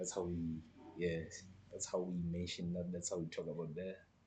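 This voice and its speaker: This man speaks at a moderate pace in a very deep, low pitch that is somewhat breathy. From Lesotho. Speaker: live streamer. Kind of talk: casual chat. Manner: halting.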